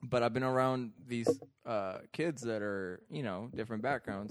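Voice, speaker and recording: Heard at a moderate pace, this is a normal speaking voice with ordinary pitch variation. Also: man. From Iraq, moved to California at twelve. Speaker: comedian. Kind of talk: casual chat.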